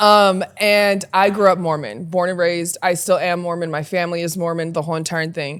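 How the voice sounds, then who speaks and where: A woman with a plain, everyday voice and fairly low pitch speaks at a fairly quick pace with fairly even intonation and hardly any pauses. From Utah, US. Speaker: podcast guest, former basketball player. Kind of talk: casual chat. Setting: podcast recording.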